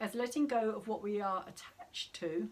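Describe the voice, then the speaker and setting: Putting on a squeaky character voice, a woman speaks at a moderate pace, fairly high in pitch with lively intonation. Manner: voice cracking mid-sentence.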